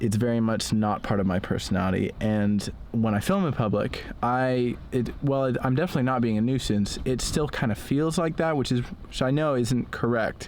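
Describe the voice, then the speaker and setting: Over noticeable background noise, a man talks at a moderate pace with very even loudness, ordinary pitch variation and hardly any pauses. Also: medium pitch for a man. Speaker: vlogger. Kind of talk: vlog monologue. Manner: slurred speech; hesitant, many fillers.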